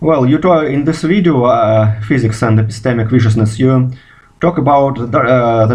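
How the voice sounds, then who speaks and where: In a Russian accent, a man talks at a moderate pace with medium pitch, ordinary pitch variation and a somewhat breathy voice. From Russia, Moscow. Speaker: physicist. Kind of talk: video response monologue. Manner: halting, many fillers.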